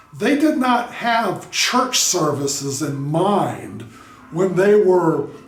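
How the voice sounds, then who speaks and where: Amid noticeable background noise and audible room echo, a man speaks with a high pitch and lively intonation. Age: 60s. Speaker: YouTuber and drummer. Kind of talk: commentary monologue. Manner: casual, with filler words.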